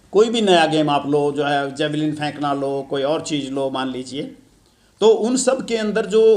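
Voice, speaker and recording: A fairly high-pitched man's voice with lively intonation and audible room echo. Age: 70s. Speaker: event organizer addressing students. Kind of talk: speech to students at an event.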